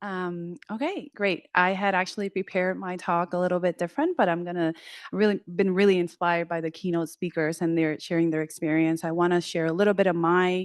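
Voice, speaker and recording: A woman with a Spanish accent talks at a fairly quick pace with hardly any pauses, her pitch fairly low and her intonation fairly even. The sound is dry and close with no echo, and the background is quiet. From Puerto Rico. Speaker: clinical psychologist and professor. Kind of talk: panel discussion.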